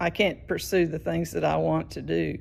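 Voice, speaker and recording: This woman speaks with a Southern US accent. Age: 70s. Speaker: patient, retired teacher. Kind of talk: recorded video message. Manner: halting.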